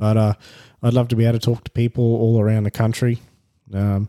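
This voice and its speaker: In an Australian accent, the speaker uses a monotone, flat intonation and a dark, mellow tone. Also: man, dry, close sound with no echo, very clean recording, silent background. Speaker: podcast host. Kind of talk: solo monologue. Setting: at home. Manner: halting.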